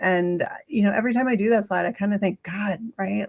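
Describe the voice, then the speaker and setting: A woman's medium-pitched voice with an American accent, at a fairly quick pace. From Massachusetts. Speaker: realtor. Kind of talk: live market update. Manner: fast.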